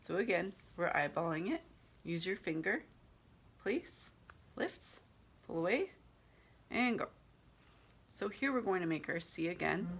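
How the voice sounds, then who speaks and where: A woman at medium pitch with lively intonation, at a fairly slow pace with long, frequent pauses. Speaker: handwriting teacher. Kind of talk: tutorial. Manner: hesitant.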